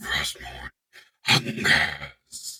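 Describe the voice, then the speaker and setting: A growling, put-on character voice. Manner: menacing.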